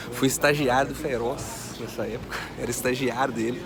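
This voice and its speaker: A man speaks in fairly even intonation while noticeable background noise carries on. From Minas Gerais, Brazil (Vale do Aço). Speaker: online finance educator. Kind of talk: personal story vlog. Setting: airport VIP lounge. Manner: casual, conversational.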